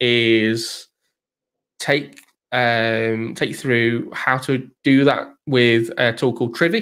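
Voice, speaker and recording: A man delivers his words at a very slow pace and a medium pitch. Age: middle-aged. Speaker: DevOps consultant. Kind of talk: casual tech chat on live stream. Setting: live stream.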